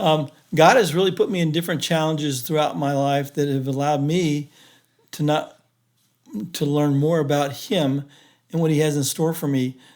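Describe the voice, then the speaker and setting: Long, frequent pauses break up speech delivered at a moderate pace with fairly even intonation. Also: man, fairly high pitch for a man. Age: 60s. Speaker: engineer, stroke survivor. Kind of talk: podcast interview, personal testimony. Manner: halting.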